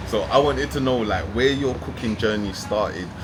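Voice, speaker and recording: With music in the background and audible room echo, a man with a London accent talks at a fairly quick pace with lively intonation. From London, of Jamaican parents. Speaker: podcast host. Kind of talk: interview. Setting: in person, in Spain. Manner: animated.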